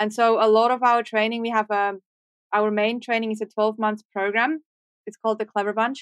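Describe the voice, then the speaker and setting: A woman's fairly high, monotone, flat voice in a Swiss accent at a fairly quick pace, dry and close with no echo. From Switzerland. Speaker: marketing entrepreneur and author. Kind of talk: podcast interview.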